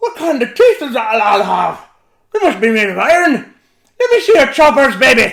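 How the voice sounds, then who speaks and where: Loud and at a moderate pace, a man puts on a character voice pitched extremely high. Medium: read story. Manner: loud, blustering.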